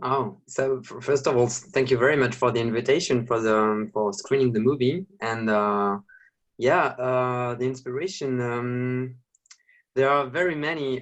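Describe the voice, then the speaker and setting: Speaking in a French accent, a man keeps a medium pitch, a moderate pace and ordinary pitch variation. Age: 30s. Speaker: film director and drag queen. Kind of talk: Q&A interview. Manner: halting.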